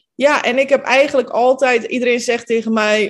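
Over music in the background, a woman talks at a moderate pace in a high voice. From Netherlands, Capelle aan de IJssel (from Bosnia at 10). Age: 30s. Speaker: manifestation coach. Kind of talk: interview.

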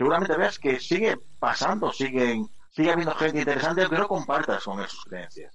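With big pitch swings and a fairly bright tone, the voice moves at a fairly quick pace over audible room echo. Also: man, fairly high pitch for a man.

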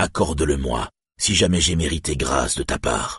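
Putting on a character voice, a man speaks at a moderate pace in a raspy, very deep, low pitch. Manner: urgent, earnest, then gentle.

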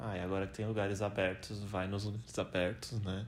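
A man talks at a moderate pace in a fairly low pitch. His intonation is monotone and flat, and his voice is somewhat breathy. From Brazil. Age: 20s. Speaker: biomedical scientist, host's boyfriend. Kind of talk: casual chat.

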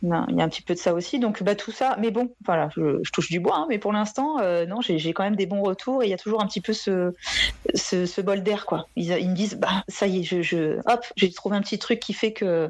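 Noticeable background noise runs behind the recording. A woman speaks at a moderate pace over it. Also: medium pitch for a woman, ordinary pitch variation. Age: 40s. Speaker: art therapist. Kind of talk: interview.

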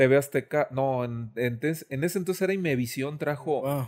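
A man speaks at a moderate pace with a plain, everyday voice. His pitch is medium and shows ordinary variation. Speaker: illustrator. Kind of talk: casual chat.

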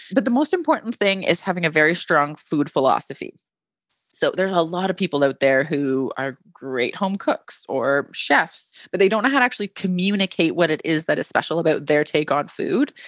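In a Canadian accent, a woman with a plain, everyday voice talks at a fairly quick pace with lively intonation and a fairly low pitch, on a very clean recording with a silent background. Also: dry, close sound with no echo. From Canada. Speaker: literary agent. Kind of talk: casual interview.

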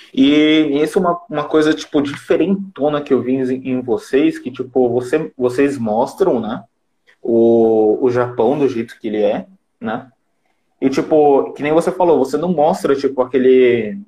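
Speaking at a fairly slow pace, a man has a fairly high pitch and a dark, mellow tone. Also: ordinary pitch variation. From Japan (Brazilian community). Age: 20s. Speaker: digital marketer and live-stream host. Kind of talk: casual live-stream chat. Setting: live stream video call.

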